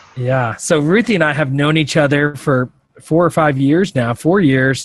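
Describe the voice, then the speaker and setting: A man's ordinary speaking voice, fairly high in pitch with ordinary pitch variation, at a moderate pace and very even loudness. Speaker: podcast host. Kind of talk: podcast interview.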